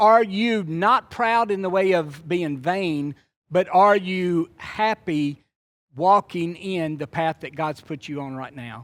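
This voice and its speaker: On a very clean recording with a silent background and a dry, close sound with no echo, a man with a Louisiana accent speaks very slowly in a high pitch, showing ordinary pitch variation and big swings in loudness. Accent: Southern US (Louisiana). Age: 60s. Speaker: preacher. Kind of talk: sermon. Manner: conversational.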